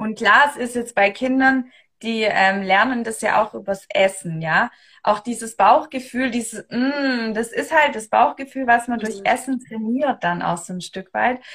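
Speaking in a normal speaking voice, a woman talks fairly slowly at a fairly high pitch with ordinary pitch variation. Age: 30s. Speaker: human design coach. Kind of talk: casual chat. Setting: Instagram live video stream.

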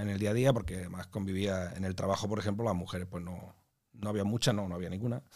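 Speaking very fast, a man uses ordinary pitch variation. His words come quickly throughout. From Andalusia, Pozoblanco (north of Córdoba). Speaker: civil engineer and amateur actor. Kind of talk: casual interview.

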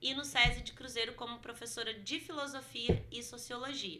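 Amid noticeable background noise and audible room echo, a woman talks at a moderate pace in a fairly high pitch. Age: 30s. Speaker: history teacher and culture director. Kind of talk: casual interview.

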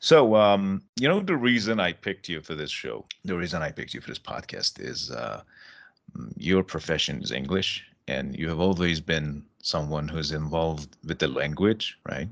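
A man's very deep, low voice with vocal fry, ordinary pitch variation, big swings in loudness and a moderate pace, set against a quiet background. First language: Persian. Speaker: English teacher and podcast host. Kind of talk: casual interview.

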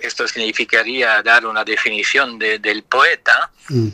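A man's voice in a dry, close sound with no echo. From Luxembourg. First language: Italian (speaking Spanish). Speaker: poet. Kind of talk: interview.

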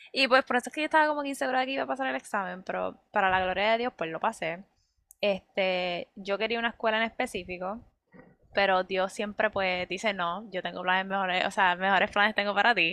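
A woman speaks at a very fast pace with a bright, sharp tone and lively intonation, in a dry, close sound with no echo over a quiet background. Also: medium pitch for a woman. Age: 20s. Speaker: medical student. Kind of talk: casual faith podcast chat and testimony.

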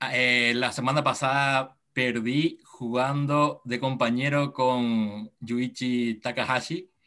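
In a Paraguayan accent, a man of medium pitch speaks at a very slow pace in a flat monotone. His tone is bright and sharp, and the background is quiet. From Paraguay, Encarnación. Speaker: padel federation developer. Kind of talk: interview.

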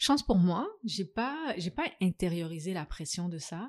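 A woman with a normal speaking voice talks at a fairly slow pace and a fairly low pitch. The recording is very clean, with a silent background. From Africa. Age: 30s. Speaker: guest on a podcast about singlehood. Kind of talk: casual interview conversation.

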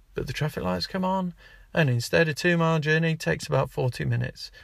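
An animated male voice on a very clean recording with a silent background. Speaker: podcast host. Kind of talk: angry rant. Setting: in a car. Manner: exasperated, ranting; animated, sarcastic.

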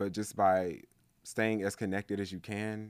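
Someone with an American accent speaks at a fairly slow pace on a very clean recording with a silent background. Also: man. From US South. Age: 20s. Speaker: musician. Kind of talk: interview.

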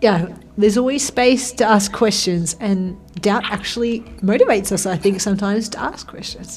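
A woman with an Australian accent, medium pitch, ordinary pitch variation, a moderate pace and big swings in loudness. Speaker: radio host. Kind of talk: casual chat. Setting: studio. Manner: animated.

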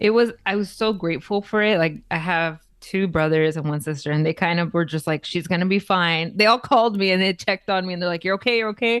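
A woman with an American accent, medium pitch and ordinary pitch variation at a fairly quick pace, on a very clean recording with a silent background. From East Los Angeles, California. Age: 30s. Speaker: content creator. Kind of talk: casual interview chat. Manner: hesitant, many fillers and restarts.

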